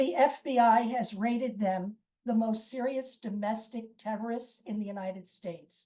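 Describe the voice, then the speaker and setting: Somewhat breathy and dark, mellow in tone, a woman speaks at a moderate pace with a fairly high pitch and fairly even intonation. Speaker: lawyer and lecturer. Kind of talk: presentation.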